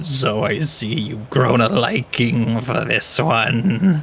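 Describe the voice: Over clear background noise, a man puts on a character voice at a medium pitch and a very slow pace.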